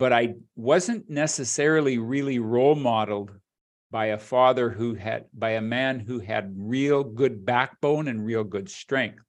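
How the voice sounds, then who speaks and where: Against a quiet background, a man with an unremarkable speaking voice and ordinary pitch variation talks at a fairly slow pace. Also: medium pitch for a man. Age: 60s. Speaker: leadership development specialist and podcast host. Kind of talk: casual chat.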